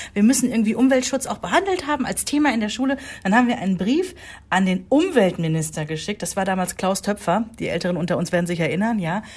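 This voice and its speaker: A woman talks at a very fast pace and medium pitch, somewhat breathy, with lively intonation. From Rhineland, Germany. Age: 40s. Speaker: podcast co-host, mother. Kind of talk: casual chat.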